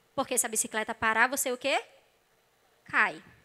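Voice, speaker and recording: Bright and sharp in tone, a woman's high-pitched voice comes across animated and raised, projected outward. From Brazil, not Rio de Janeiro. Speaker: psychologist, church speaker; speaker. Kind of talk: sermon-style talk. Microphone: handheld.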